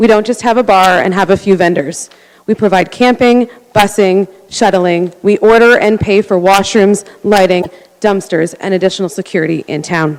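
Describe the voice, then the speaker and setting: A woman talks at medium pitch with ordinary pitch variation. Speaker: community volunteer. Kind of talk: council deputation. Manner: fast.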